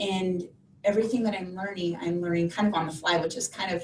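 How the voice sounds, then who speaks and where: A woman speaks over noticeable background noise. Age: 40s. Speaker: online fitness coach. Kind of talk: interview. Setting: video call.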